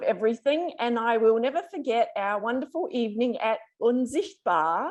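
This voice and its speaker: High-pitched woman's voice in an Australian accent. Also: quiet background. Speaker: ophthalmologist. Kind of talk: speech.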